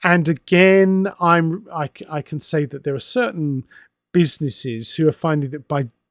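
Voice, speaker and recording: In an English accent, a man speaks at a fairly slow pace with a fairly high pitch and ordinary pitch variation. The recording is very clean with a silent background, dry and close with no echo. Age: 60s. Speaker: wargaming magazine editor and author. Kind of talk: casual monologue. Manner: conversational with hesitations.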